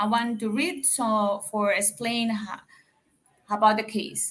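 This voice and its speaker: A woman speaks with a Dominican accent in a fairly high pitch. Her pace is very slow. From Dominican Republic. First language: Spanish. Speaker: caller. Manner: halting.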